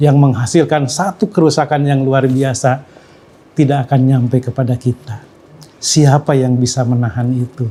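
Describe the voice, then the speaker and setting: Somewhat breathy and dark, mellow in tone, this man's medium-pitched voice keeps a fairly even intonation. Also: moderate pace. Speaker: Islamic teacher. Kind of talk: Islamic science lecture.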